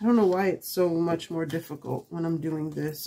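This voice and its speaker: A woman speaks in a soft-spoken manner. Her pitch is fairly low. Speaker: crafting YouTuber. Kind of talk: tutorial. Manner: halting, talking to herself.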